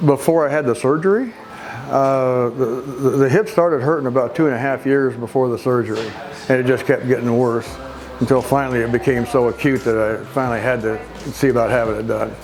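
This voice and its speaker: Room echo and noticeable background noise are audible in this recording. A man speaks at a fairly quick pace, his medium pitch varying in an ordinary way. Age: 70s. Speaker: physical therapy patient. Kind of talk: testimonial interview. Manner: halting, with many fillers and repeats.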